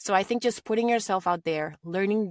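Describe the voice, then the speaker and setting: On a very clean recording with a silent background and a dry, close sound with no echo, a woman with a slight Spanish accent talks at a moderate pace with ordinary pitch variation. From Latin America. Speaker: voice actor. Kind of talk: interview.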